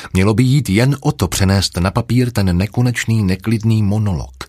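With an unremarkable speaking voice, a man uses lively intonation at moderate speed. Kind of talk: audiobook reading, literary narration. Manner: measured, even storyteller pacing, dark and brooding mood.

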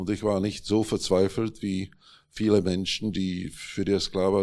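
A man with a Czech accent and a very deep, low pitch, flat monotone delivery at a moderate pace, on a very clean recording with a silent background. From Czechoslovakia (Prague). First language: Czech (speaking German). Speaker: journalist and publisher. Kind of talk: panel discussion. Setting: stage with audience.

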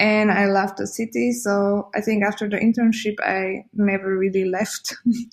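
With a Slovak accent, the speaker talks at a moderate pace in a monotone, flat intonation and sounds somewhat breathy. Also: woman. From Slovakia. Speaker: curator and graphic designer. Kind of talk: interview.

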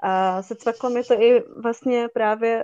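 Against a quiet background, a woman's intonation stays fairly even. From Czech Silesia, Hradec nad Moravicí. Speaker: photographer. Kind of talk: casual interview.

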